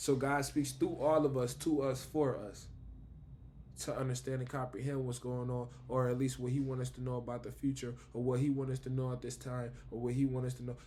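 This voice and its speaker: A man's somewhat breathy, dark, mellow voice at medium pitch, in an American accent, fairly quick and monotone, flat in intonation, with audible room echo. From Buffalo, New York, US. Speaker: vlogger. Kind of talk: casual spiritual monologue.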